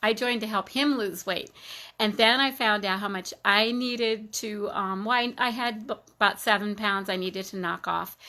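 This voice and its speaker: A woman speaks at a moderate pace with a fairly high voice and a bright, sharp tone. Her intonation is fairly even on a very clean recording with a silent background. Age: 60s. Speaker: health product seller. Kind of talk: testimony. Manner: halting.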